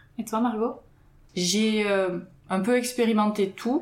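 Against noticeable background noise, a woman speaks very slowly in a fairly high pitch. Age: 30s. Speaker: web agency co-founder. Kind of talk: casual chat. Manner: halting, repeats words.

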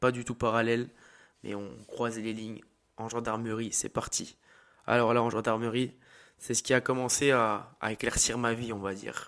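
In a very clean recording with a silent background, a man talks at a moderate pace. His intonation stays monotone and flat. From eastern France. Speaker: fitness coach and podcaster. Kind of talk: personal monologue. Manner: halting.

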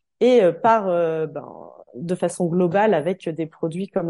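A dark, mellow tone carries the voice. Behind it, the background stays quiet. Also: woman. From Normandy, France (Calvados). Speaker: podcast host, naturopath. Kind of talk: interview conversation. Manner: halting, many fillers.

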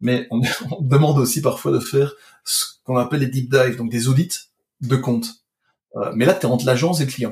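Somewhat breathy, a man talks at a fairly quick pace but leaves long, frequent pauses. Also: medium pitch for a man, ordinary pitch variation. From Belgium. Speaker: digital marketing expert. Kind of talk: casual chat.

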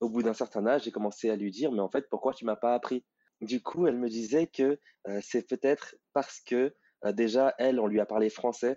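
Speaking at a moderate speed, the man has a medium-pitched voice. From Paris suburbs, France. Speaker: reader of the book. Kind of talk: interview. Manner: hesitant.

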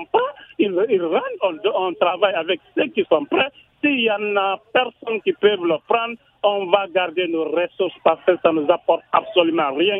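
A man with a high voice and lively intonation speaks at a fairly slow pace. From Guinea, Kindia. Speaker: radio caller. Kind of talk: call-in opinion.

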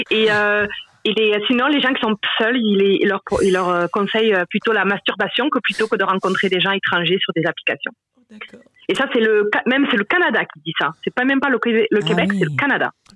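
Her voice is an ordinary speaking voice, fairly high in pitch, with lively intonation and a moderate pace. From France. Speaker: regular listener. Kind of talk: casual phone chat.

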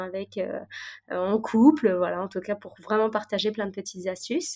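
A woman with a normal speaking voice talks at a fairly slow pace, medium in pitch, with fairly even intonation. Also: very clean recording, silent background. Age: 30s. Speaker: pastry chef and restaurateur. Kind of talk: interview.

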